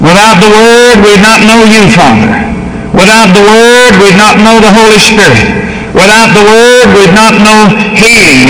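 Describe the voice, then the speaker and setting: Amid loud background noise and audible room echo, a man talks at a fairly slow pace. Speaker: preacher. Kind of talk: sermon prayer. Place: hall.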